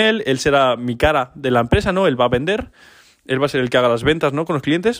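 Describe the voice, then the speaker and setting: This man, in a normal speaking voice, has a fairly high pitch and lively intonation and speaks fairly quickly. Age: 20s. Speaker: entrepreneur podcaster. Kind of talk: casual solo podcast monologue.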